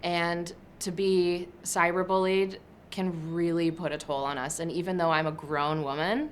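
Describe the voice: A woman speaks at a fairly low pitch and a fairly slow pace, her intonation fairly even.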